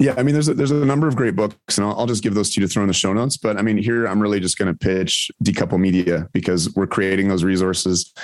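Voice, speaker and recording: A man rattles off his words very fast, his fairly low voice showing ordinary pitch variation. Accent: Canadian. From Ontario, Canada. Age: 40s. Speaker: physician and nuclear energy advocate. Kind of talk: interview.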